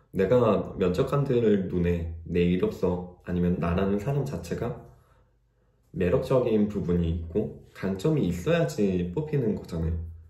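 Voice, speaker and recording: Audible room echo surrounds a man's somewhat breathy voice. He talks fairly slowly with lively intonation. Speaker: job-seeking aspiring developer, vlogger. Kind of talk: casual vlog monologue. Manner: hesitant, with fillers.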